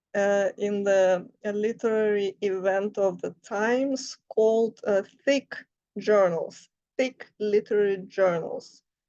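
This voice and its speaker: A woman speaks very slowly with a Russian accent. Her pitch sits in the medium range, and her intonation stays fairly even. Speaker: writer and life coach. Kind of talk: casual talk to camera. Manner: halting, many fillers.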